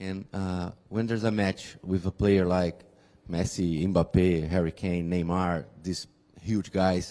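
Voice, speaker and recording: In a Portuguese accent, a man with a very deep, low pitch and a dark, mellow tone speaks at a very slow pace with monotone, flat intonation. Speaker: journalist. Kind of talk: press conference question.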